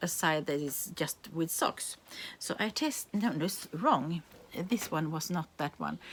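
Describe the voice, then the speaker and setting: Speaking in a Swedish accent at a fairly slow pace, a woman uses a fairly low pitch with ordinary pitch variation. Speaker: knitting podcaster. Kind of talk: casual show-and-tell vlog. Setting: home. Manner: halting, many fillers and restarts.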